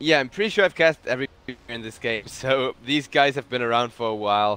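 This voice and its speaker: Bright, sharp tone in a German accent, at a fairly quick pace with lively intonation. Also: man. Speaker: esports caster. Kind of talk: live commentary. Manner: animated.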